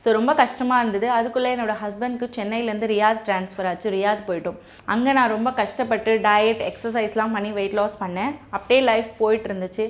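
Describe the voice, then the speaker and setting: A woman speaks in a normal speaking voice. Her pitch is fairly high and her intonation fairly even. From Chennai, India. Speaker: weight-loss YouTuber. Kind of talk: motivational talk.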